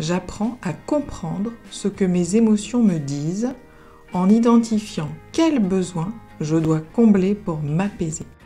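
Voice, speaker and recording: A woman speaks in a calm tone at a very slow pace. Music plays in the background. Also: medium pitch for a woman, lively intonation. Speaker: therapist and coach. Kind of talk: positive affirmations recording. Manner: calm, slow.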